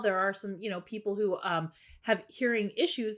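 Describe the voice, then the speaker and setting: A woman speaks at a moderate pace with a medium pitch. The recording is very clean, with a silent background. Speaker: business coach. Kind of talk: tutorial. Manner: casual, loose delivery.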